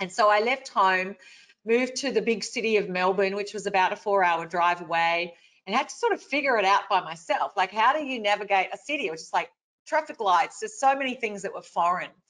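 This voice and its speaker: In an Australian accent, a woman talks at a fairly quick pace with a medium pitch and lively intonation. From rural Victoria, Australia. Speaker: motivational speaker. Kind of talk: webinar talk.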